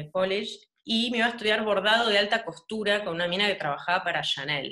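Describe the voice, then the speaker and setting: A woman speaks in a bright, sharp tone over a quiet background. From Argentina. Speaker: painter; interviewee. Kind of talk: casual interview. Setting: home, video call. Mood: relaxed, animated. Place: home room. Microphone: video call.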